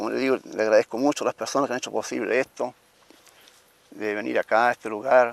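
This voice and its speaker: Dry and close with no echo, a man talks at a very fast pace broken by long, frequent pauses. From Chile, Italian-Trentino colonist family. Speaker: interviewee telling family history. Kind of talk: oral history testimony. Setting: outdoors at former family home. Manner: halting.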